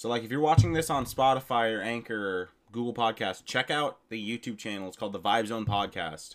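A man with a normal speaking voice talks at a fairly quick pace with hardly any pauses, using a medium pitch and ordinary pitch variation. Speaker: podcast host. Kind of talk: casual chat. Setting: video call.

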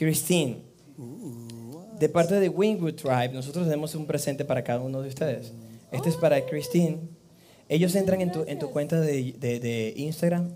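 A man speaks with a fairly high pitch and a dark, mellow tone. His pace is moderate and his pitch variation ordinary. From Venezuela, Amazonas. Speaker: live music show host. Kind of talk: live show hosting. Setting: studio with live band. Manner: animated.

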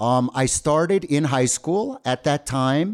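At a fairly slow pace, a man uses a normal speaking voice with ordinary pitch variation. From New Jersey, US. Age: 50s. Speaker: podcast host, English teacher. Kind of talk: bilingual casual chat.

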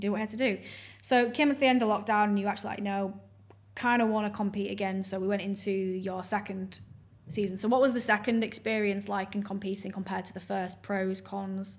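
Somewhat breathy and medium in pitch, a woman talks at a very fast pace. Her intonation stays fairly even. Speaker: podcast host and fitness coach. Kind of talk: casual interview chat.

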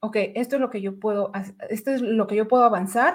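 Lively intonation marks this woman's voice at a moderate pace. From Mexico City. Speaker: budget analyst and data instructor. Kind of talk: interview / livestream chat.

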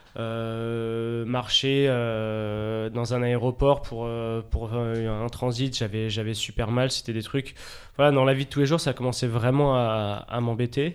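Speaking at a very slow pace, a man holds a medium pitch in a monotone, flat intonation. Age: 20s. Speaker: professional table tennis player. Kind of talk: casual chat.

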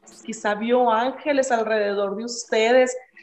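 Over noticeable background noise, a woman with a fairly high pitch speaks at a moderate pace in a flat, monotone way. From Mexico, Ciudad Juárez. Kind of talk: interview. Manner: halting.

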